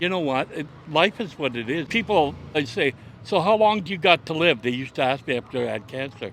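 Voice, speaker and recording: A man with an ordinary speaking voice, pitched fairly high. He talks at a fairly quick pace with lively intonation. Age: 60s. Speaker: cancer patient. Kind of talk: street interview.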